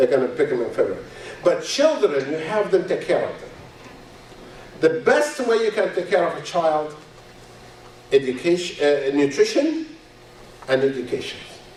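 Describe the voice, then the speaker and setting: A man at a moderate pace, with long, frequent pauses, audible room echo and noticeable background noise. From Egypt. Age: 60s. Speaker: physician. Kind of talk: lecture. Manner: halting.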